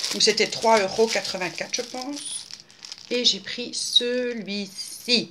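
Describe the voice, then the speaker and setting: At a very slow pace, a woman with a fairly high pitch talks with big swings in loudness over noticeable background noise. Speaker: craft video maker. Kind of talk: casual vlog talk to viewers; casual vlog chat. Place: home room. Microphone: webcam.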